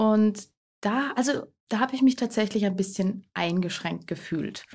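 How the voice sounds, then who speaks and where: A woman speaks with a plain, everyday voice. Her pace is moderate and her pitch variation ordinary. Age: 20s. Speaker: eco blogger and cookbook author. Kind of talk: casual interview chat.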